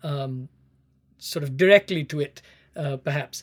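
A man with an Indian accent speaks with ordinary pitch variation. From South India, Chennai. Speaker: education scholar and teacher. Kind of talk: interview, explanatory. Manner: halting, many fillers.

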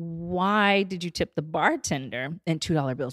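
Lively intonation comes through at a moderate pace in a very clean recording with a silent background and a dry, close sound with no echo. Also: woman. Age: 30s. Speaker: podcast guest discussing dating and queerness. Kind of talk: casual interview chat.

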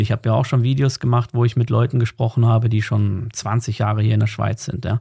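A man speaks at a medium pitch and a fairly quick pace. His voice is somewhat breathy, with a dark, mellow tone. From Germany. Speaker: emigrant content creator. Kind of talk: interview conversation.

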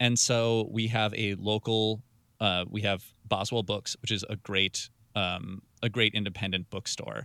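In a very clean recording with a silent background, a man with an American accent speaks at a fairly slow pace and a fairly low pitch. His intonation is monotone and flat, and his tone is bright and sharp. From Wisconsin, Milwaukee. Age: 30s. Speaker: radio music director. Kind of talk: interview. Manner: halting.

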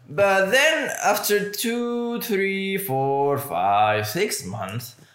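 A man with a high voice talks at a very slow pace, his pitch swinging very widely. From Mexico. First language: Spanish. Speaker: podcast host. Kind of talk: casual chat.

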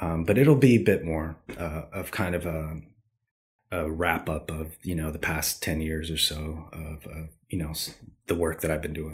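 In a very clean recording with a silent background, a man with a Californian accent speaks at a moderate pace with a very deep, low pitch, a somewhat breathy quality and fairly even intonation. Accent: Californian American. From Southern California. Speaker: street artist. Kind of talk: interview.

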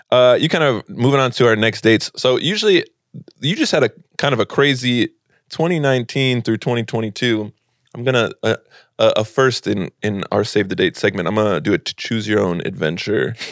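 In a plain, everyday voice, a man speaks at a medium pitch and moderate pace with lively intonation, on a very clean recording with a silent background. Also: dry, close sound with no echo. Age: 30s. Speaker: podcast co-host, comedian and teacher. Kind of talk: casual chat.

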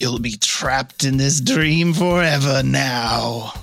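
A man is doing a put-on character voice. He speaks at medium pitch and a fairly slow pace. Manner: menacing, taunting.

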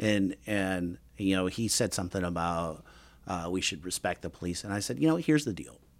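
On a very clean recording with a silent background, a man with an American accent and a very deep, low pitch talks at a fairly quick pace with ordinary pitch variation. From US Midwest, northwest Indiana. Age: 50s. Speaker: military veteran and volunteer. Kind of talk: interview conversation. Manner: halting.

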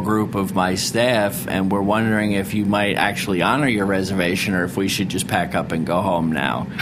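A man with an American accent speaks at a moderate pace in a fairly low voice with ordinary pitch variation. Audible room echo and noticeable background noise fill the recording. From Rhode Island and Philadelphia. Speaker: chef and restaurateur. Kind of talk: interview. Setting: studio.

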